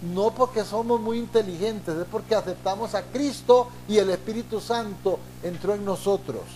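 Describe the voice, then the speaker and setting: Against noticeable background noise, a man speaks at a moderate pace with hardly any pauses. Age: 60s. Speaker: pastor. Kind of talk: sermon.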